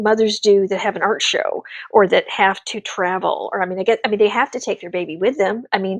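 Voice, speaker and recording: A woman's animated tone, dry and close with no echo. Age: 50s. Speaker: artist. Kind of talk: casual chat. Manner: fast.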